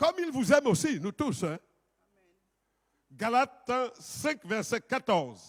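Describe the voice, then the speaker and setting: Loud, very slow speech with very wide pitch swings and long, frequent pauses, in dry, close sound with no echo on a very clean recording with a silent background. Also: man, extremely high pitch for a man. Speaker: pastor. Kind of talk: sermon. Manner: authoritative.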